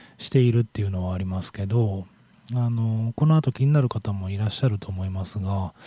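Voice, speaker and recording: A man speaks with a dark, mellow tone at a fairly low pitch and ordinary pitch variation. The recording is very clean, with a silent background. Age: 40s. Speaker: radio host. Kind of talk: casual radio talk. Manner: casual, meandering with fillers.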